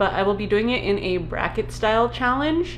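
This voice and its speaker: Music in the background and audible room echo behind a woman's voice. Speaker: booktuber. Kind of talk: casual vlog talk. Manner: many filler ums.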